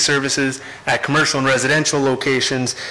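A man is talking. His pace is moderate. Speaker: council presenter. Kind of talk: formal presentation. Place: hall. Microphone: podium.

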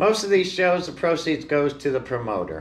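A man talks at a moderate speed. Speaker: seller. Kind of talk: casual vlog chat. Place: shop.

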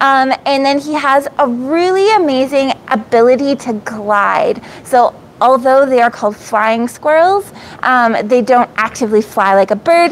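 Her pitch high, a woman speaks at a fairly slow pace with few pauses. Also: ordinary pitch variation.

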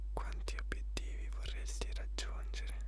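A soft-spoken man whispers at a moderate pace. The sound is dry with no echo, but the background noise is loud. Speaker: guide of a reflective exercise. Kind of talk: calm guided reflection, asking questions. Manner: soft close whisper, Italian.

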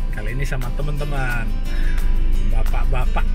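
Loud music plays in the background while a man speaks in a dry sound with no echo. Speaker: vlogger. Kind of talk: casual vlog chat. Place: car. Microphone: phone near.

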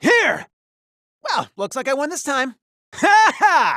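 Using a put-on character voice, a man speaks in an energetic, playful tone. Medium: dub. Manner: energetic battle shouts, playful.

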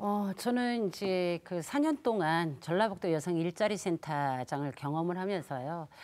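Her pitch is fairly low, with lively intonation. The woman talks at a fairly slow pace. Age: 60s. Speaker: women's employment advocate; panelist. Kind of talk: live TV debate. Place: studio. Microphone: lapel.

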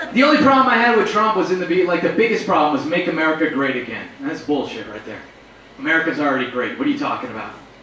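Speech races along at a very fast pace with audible room echo. Light background noise sits underneath. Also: man. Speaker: stand-up comedian. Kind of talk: stand-up comedy routine. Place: stage.

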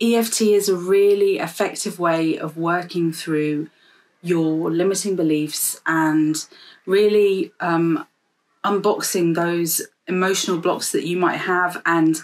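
This woman's voice sits at a fairly low pitch and moves along at a very slow pace. Her intonation stays fairly even. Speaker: EFT practitioner vlogger. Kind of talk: casual explanatory vlog talk. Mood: warm, calm, encouraging. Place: home room. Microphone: phone near.

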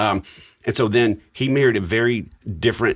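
Against a quiet background, the talking goes at a fairly quick pace. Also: man. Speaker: podcast co-host. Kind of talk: podcast storytelling chat. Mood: warm, reflective, lightly humorous. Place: studio. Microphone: studio mic.

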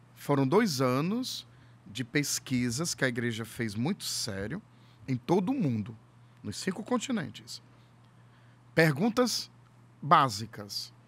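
A man talks at a fairly slow pace, his fairly high voice moving in very wide pitch swings. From Ceará, Brazil (Fortaleza area); Ceará, Brazil. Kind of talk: casual chat. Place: studio. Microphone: studio mic.

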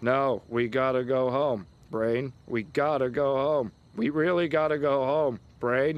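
This is a man doing a cartoonish character voice at a medium pitch. He talks at a fairly slow pace. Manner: eager, upbeat then anxious.

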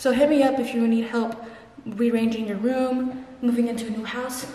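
A woman speaks at a high pitch in a flat, monotone delivery. The room has an audible echo, with light noise in the background. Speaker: student vlogger. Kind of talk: casual vlog chat. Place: empty room. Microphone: phone near.

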